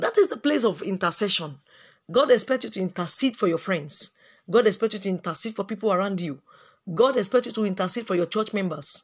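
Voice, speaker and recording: The background is quiet. The speaking pace is very fast. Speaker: preacher / Bible teacher. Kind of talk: sermon with prayer. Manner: fervent, earnest, preacherly; repetitive, rhetorical questions, halting.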